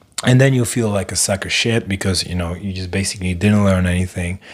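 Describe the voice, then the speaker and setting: A man with a non-native accent speaks at a very fast pace. His pitch is very deep and low, and noticeable background noise runs underneath. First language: not English. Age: 40s. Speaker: live stream host. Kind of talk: casual monologue. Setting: live stream. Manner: hesitant, filler-heavy.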